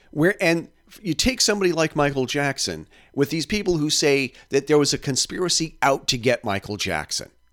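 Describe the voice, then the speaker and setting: Fairly high in pitch, a man with an unremarkable speaking voice talks at a fairly quick pace with lively intonation and big swings in loudness. The recording is very clean with a silent background and a dry, close sound with no echo. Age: 50s. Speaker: podcast host. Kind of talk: casual chat.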